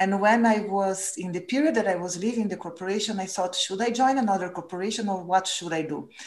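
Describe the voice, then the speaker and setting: A woman in a Portuguese accent at a very fast pace, hardly any pauses, medium pitch and ordinary pitch variation. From Brazil. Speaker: former corporate purpose executive. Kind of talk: interview.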